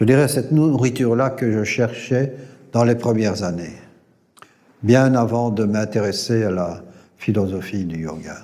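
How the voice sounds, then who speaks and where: A man speaks at a fairly slow pace with long, frequent pauses, and the room echo is audible. His medium-pitched voice is dark and mellow, with ordinary pitch variation. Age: 70s. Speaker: yoga teacher trainer. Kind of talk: interview testimony. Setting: recorded at a yoga gathering. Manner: halting, many hesitations and repetitions.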